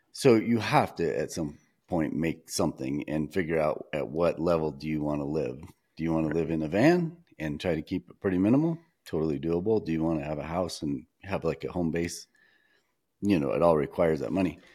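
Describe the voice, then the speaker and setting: This man's very deep, low voice has a dark, mellow tone, ordinary pitch variation, and a fairly quick pace. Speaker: wildlife photographer and podcast host. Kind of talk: casual chat. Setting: video call.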